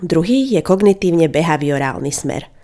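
Lively intonation marks an unremarkable speaking voice moving at a moderate pace. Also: woman. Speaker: psychology podcaster and counsellor. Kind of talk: educational monologue. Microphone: good quality microphone.

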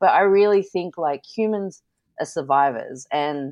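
A woman speaks with an Australian accent and ordinary pitch variation on a very clean recording with a silent background. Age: 30s. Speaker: artist and podcaster. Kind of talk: casual chat.

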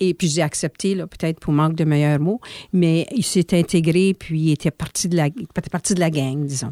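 A fairly low-pitched woman with a dark, mellow tone and ordinary pitch variation. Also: moderate pace. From Manitoba, Canada (Saint-Pierre). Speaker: former association executive director. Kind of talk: interview.

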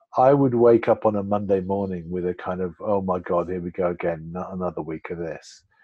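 The talking moves at a fairly quick pace with hardly any pauses and ordinary pitch variation. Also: man, very deep, low pitch for a man. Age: 50s. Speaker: filmmaker and coach. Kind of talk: casual chat.

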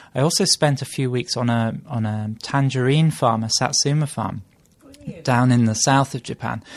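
This man has a medium pitch and ordinary pitch variation. He talks at a moderate pace. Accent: British. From UK. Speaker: travel blogger. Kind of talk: casual chat. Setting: home kitchen table.

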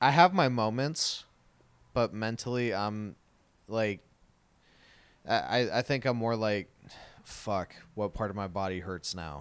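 On a very clean recording with a silent background, a man at medium pitch talks at a fairly slow pace with ordinary pitch variation and long, frequent pauses. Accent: American. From Arizona, Tucson. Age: 20s. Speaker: podcast co-host. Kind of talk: casual chat. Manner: animated.

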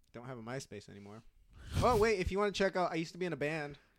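Recorded very cleanly over a silent background, a man with a Californian accent speaks with very wide pitch swings. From Southern California, Orange County. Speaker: comedian. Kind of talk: casual chat. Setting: home room.

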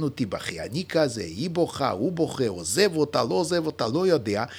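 This man's fairly high voice carries vocal fry and very wide pitch swings. He speaks at a fairly quick pace. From Lithuania. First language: Yiddish (speaking Hebrew). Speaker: mathematician and author. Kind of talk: casual chat.

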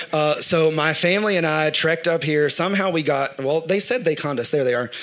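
Fairly quick male speech with ordinary pitch variation, noticeable background noise behind it. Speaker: church worship director. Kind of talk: sermon. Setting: church.

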